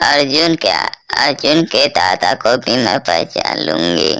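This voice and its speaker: This is a cartoonish character voice set at a low-to-middle pitch. It jumps through very wide pitch swings. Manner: doting, chatty.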